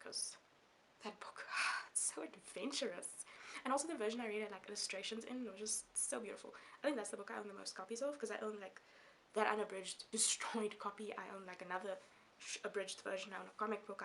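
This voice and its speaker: Speaking with a Namibian accent, a woman talks at a very fast pace. Her pitch sits in the medium range, with ordinary pitch variation. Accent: Namibian English, self-conscious about it. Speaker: book vlogger. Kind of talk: casual vlog talk to camera. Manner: animated, chatty; halting with fillers.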